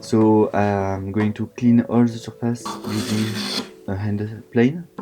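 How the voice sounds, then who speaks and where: A man with a French accent, very slow pace, fairly low pitch and fairly even intonation, over noticeable background noise. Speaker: woodworking YouTuber. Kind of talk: tutorial narration.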